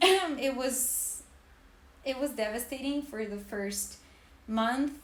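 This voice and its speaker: With audible room echo, a woman talks at a fairly slow pace and ordinary pitch variation. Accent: Serbian. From Serbia, Belgrade. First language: Serbian. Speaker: podcast co-host, art historian. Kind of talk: casual podcast chat.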